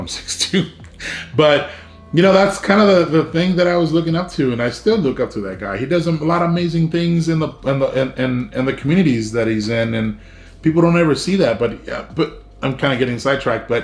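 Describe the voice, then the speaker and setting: With lively intonation and an American accent, a man speaks at a fairly high pitch over noticeable background noise. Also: fairly quick pace. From South Texas, Brownsville. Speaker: YouTuber. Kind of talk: personal story vlog. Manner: casual, many fillers.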